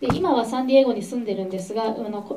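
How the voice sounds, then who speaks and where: A woman talks at a very fast pace. Her pitch is fairly high, and light background noise can be heard. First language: Japanese. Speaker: interviewer and interpreter; interviewer. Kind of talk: interview with interpreting. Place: meeting room.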